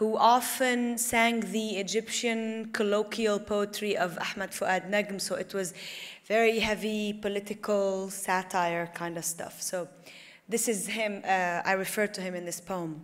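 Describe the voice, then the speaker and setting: Fairly even intonation at a fairly slow pace, in an Arabic accent. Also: woman. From Lebanon (Tripoli). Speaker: poet. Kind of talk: poetry reading.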